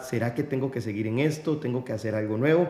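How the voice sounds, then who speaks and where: With a Costa Rican accent, a man talks at a medium pitch with ordinary pitch variation. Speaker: podcast host. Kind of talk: interview.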